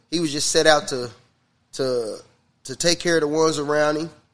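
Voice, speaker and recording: The speaker keeps a moderate pace and fairly even intonation. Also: man. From Kansas, US Midwest. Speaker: rapper. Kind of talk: casual chat.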